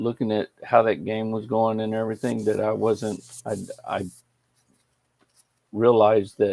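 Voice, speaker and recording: A man with an American accent at a medium pitch, dark and mellow in tone, fairly slow, in a dry, close sound with no echo. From Texas. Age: 60s. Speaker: game streamer. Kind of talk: casual livestream chat. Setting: live stream. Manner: halting, with frequent restarts.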